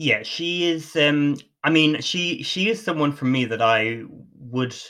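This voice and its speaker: Against a quiet background, a man with an Irish accent speaks in a bright, sharp tone with ordinary pitch variation. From Ireland. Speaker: podcast host. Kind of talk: casual chat.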